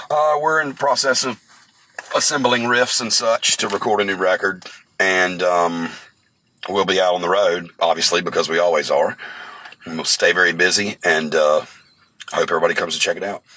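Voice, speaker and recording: A man with a slight Southern US accent talks at a fairly quick pace, broken by long, frequent pauses. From North Carolina. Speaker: metal band bassist and vocalist. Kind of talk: interview.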